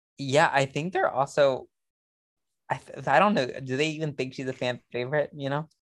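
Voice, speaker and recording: Here a man speaks at a moderate pace with a fairly high pitch. The sound is dry and close, with no echo. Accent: American. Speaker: Survivor fan co-commentator. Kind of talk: casual chat. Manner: animated, talking-head style.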